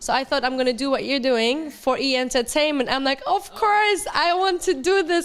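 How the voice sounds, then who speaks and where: Against noticeable background noise, a woman with an American accent talks at a moderate pace and a high pitch, with hardly any pauses, ordinary pitch variation and very even loudness. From Germany. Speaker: reality TV star and model. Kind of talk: interview.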